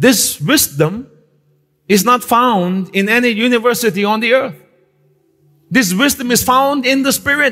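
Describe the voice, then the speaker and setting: A man speaks in a raised, projected voice at an extremely high pitch. His loudness stays very even, broken by long, frequent pauses. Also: ordinary pitch variation, fairly slow pace. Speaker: pastor. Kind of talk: Pentecostal-style church sermon, teaching and exhorting a live congregation. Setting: church service with live congregation. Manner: direct, conversational asides to the audience; emphatic preaching cadence with repeated phrases and call-and-response prompts.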